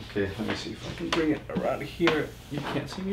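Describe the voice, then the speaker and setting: Over clearly audible background noise, a male voice with lively intonation and a moderate pace. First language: not English. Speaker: board game youtuber. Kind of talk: unboxing video. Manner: casual, animated.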